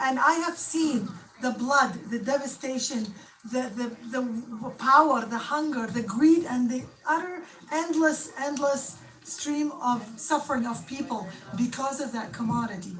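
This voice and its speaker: Audible room echo surrounds a woman with a high pitch. She speaks at a fairly slow pace with ordinary pitch variation. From Iraq. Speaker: protester, poet and interpreter. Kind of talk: street interview. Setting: outdoors at protest.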